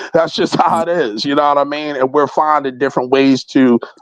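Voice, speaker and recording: Against a quiet background, a man with an American accent talks at a moderate pace. His intonation stays fairly even. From West Philadelphia, US. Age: 30s. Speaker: indie rapper. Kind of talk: interview. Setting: in-person studio interview.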